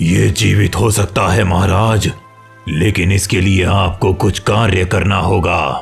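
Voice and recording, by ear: Over faint music in the background, a man performs a cartoonish character voice at a very deep, low pitch and a fairly slow pace.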